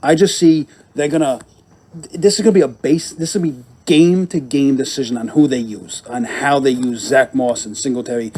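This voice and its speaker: Against noticeable background noise, a man talks at a fairly quick pace and fairly high pitch, with ordinary pitch variation and big swings in loudness. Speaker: fantasy sports podcast co-host. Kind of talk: casual podcast chat. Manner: halting, with many fillers.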